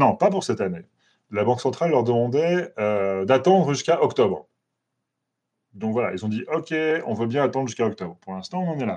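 Against a quiet background, a man with a medium pitch and a dark, mellow tone moves at a fairly quick pace, making very wide pitch swings and long, frequent pauses. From France. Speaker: NGO lobbying watchdog researcher. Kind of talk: interview. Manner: hesitant, many fillers.

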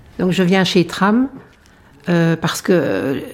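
The woman here has a fairly low-pitched voice. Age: 60s. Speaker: retired general practitioner. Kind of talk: testimony.

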